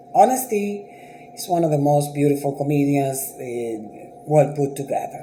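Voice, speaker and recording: With a Dominican accent, a man speaks in a fairly high pitch with lively intonation, amid noticeable background noise and audible room echo. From Dominican Republic. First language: Spanish. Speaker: writer and TV producer. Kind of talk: casual vlog commentary. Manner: conversational, with frequent hesitations.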